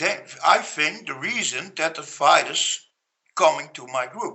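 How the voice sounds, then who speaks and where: Here a man speaks with a Dutch accent. His pace is fairly slow. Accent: Dutch accent, non-native English. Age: 40s. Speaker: Facebook group founder, construction worker. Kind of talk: interview. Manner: halting, many fillers and repetitions.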